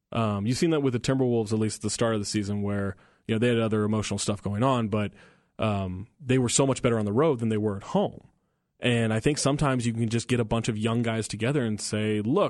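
A man with an unremarkable speaking voice talks at medium pitch and a fairly quick pace. His intonation stays fairly even over a quiet background. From Northern California. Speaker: sports radio host. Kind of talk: casual chat.

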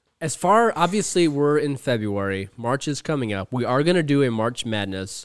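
Speaking at a moderate pace with hardly any pauses, a man uses a fairly high pitch that swings very widely. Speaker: podcast host. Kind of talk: casual chat.

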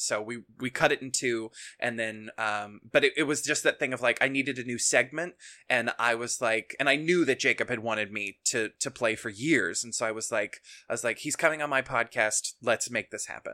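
Very cleanly recorded with a silent background and a dry, close sound free of echo, a man speaks at a moderate pace in a medium pitch with ordinary pitch variation and a bright, sharp tone. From Kentucky. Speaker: podcast host and theater producer. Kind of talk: casual chat.

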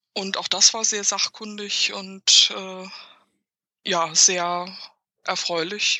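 A woman talks very slowly at a medium pitch, her intonation flat and monotone, her loudness swinging widely, with long pauses that come often. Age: 40s. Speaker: journalist and author. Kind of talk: casual interview.

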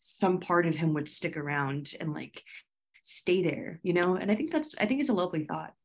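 Here a woman has an unremarkable speaking voice. She talks at a moderate pace with lively intonation. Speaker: comedian and podcast host. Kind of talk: casual interview. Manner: casual, youthful, uses like often.

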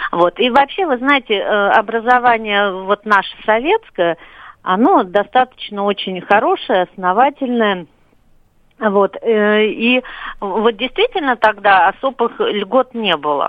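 Spoken at a very slow pace, the voice has lively intonation and very even loudness. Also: woman, fairly high pitch for a woman. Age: 40s. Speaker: caller. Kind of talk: call-in comment. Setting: phone call.

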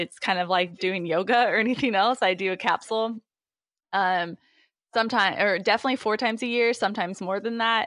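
Against a quiet background, a woman talks at a moderate speed, her pitch varying in an ordinary way. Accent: US Midwestern. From Indiana, US Midwest. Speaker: startup founder and CEO. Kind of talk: interview. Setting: remote call from home office. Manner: hesitant, many fillers.

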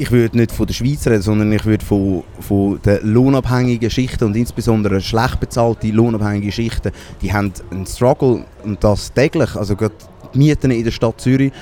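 A man's dark, mellow voice at a medium pitch, fairly even in intonation and fairly quick in pace. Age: 20s. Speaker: spokesperson of a socialist movement. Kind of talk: interview.

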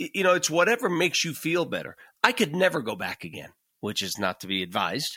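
A man speaks very fast at a fairly high pitch, with a bright, sharp tone, vocal fry and very wide pitch swings. The recording is very clean, with a silent background and a dry, close sound with no echo. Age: 50s. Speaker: podcast co-host, cancer patient. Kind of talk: casual conversation.

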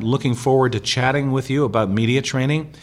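A man speaks in a medium pitch at a moderate pace. He has an ordinary speaking voice. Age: 50s. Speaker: media trainer and former reporter. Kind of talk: interview. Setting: recorded at a conference.

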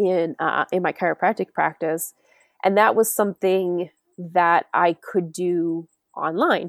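Recorded dry and close with no echo on a very clean recording with a silent background, a woman with an American accent and a normal speaking voice talks at a fairly low pitch, fairly slow pace and fairly even intonation. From New York. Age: 40s. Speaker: hunter and forager. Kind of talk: casual chat.

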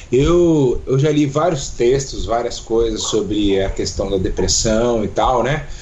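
A man at medium pitch, very slow pace and ordinary pitch variation, amid noticeable background noise and audible room echo. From Brazil, Foz do Iguaçu (Paraná). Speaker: psychologist and pastor. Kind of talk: casual interview.

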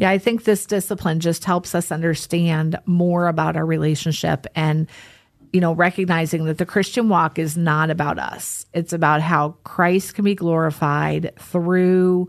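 The background is quiet around a woman at a fairly slow pace. She uses a normal speaking voice. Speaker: podcast host. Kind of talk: casual podcast conversation.

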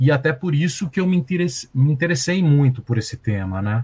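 Lively intonation colors a somewhat breathy voice. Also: man. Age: 50s. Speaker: journalist and violence researcher. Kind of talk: interview.

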